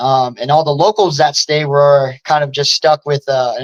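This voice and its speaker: A man with a normal speaking voice and an American accent, fairly high in pitch, at a moderate pace, in a dry, close sound with no echo. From New Jersey, Jersey Shore (Wildwood), then Arizona. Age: 20s. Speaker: MMA fighter. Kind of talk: casual interview chat.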